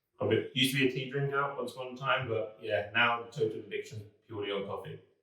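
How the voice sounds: The voice moves at a fast pace with little pitch movement and a bright, sharp tone. Audible room echo surrounds it. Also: man, medium pitch for a man.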